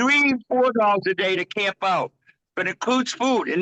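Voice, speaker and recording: Raised and projected, a man's high-pitched voice has a bright, sharp tone and an American accent, recorded dry and close with no echo. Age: 70s. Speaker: Rainbow Family elder, farm owner. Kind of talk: interview answer. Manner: casual, stammering.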